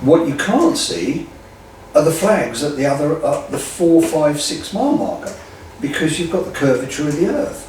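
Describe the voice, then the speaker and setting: Male speech at a moderate pace, with audible room echo and noticeable background noise. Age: 60s. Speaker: drag racer and land speed racing enthusiast. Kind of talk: interview. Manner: animated.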